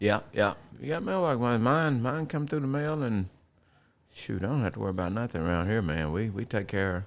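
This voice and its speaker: With an American accent, a man talks at a fairly quick pace with very wide pitch swings. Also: medium pitch for a man. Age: 60s. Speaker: retired air conditioning repairman. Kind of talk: casual chat. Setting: home man cave.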